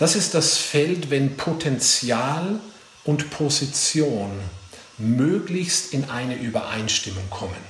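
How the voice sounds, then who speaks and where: Very slowly, a man speaks with lively intonation. Audible room echo and noticeable background noise surround him. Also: fairly high pitch for a man. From Bavarian Forest, eastern Bavaria. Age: 40s. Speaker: leadership coach and speaker. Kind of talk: talk to career advisors.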